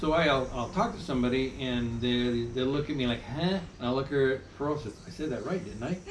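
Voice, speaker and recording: With an American accent, a man talks at a fairly quick pace with hardly any pauses, amid noticeable background noise and audible room echo. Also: medium pitch for a man, ordinary pitch variation. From United States. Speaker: vlogger. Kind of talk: casual chat.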